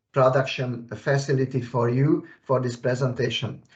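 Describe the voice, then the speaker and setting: This man's voice sits at a fairly high pitch. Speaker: technical expert. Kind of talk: software tutorial. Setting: video call. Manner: halting, many fillers. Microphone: weak internet connection.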